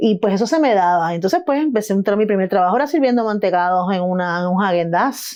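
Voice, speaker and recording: Delivered in a Puerto Rican accent, the speech runs at a very fast pace with hardly any pauses. Its loudness stays very even while the intonation is lively. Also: woman, medium pitch for a woman. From Puerto Rico, San Juan (Río Piedras). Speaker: artist and film editor. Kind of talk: interview. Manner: halting, many false starts.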